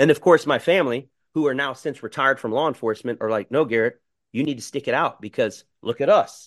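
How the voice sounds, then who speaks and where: In an American accent, a man with a medium-pitched voice talks at a very fast pace with ordinary pitch variation, the sound dry and close with no echo against a quiet background. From South Florida (Miami). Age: 40s. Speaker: dog trainer. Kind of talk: casual chat.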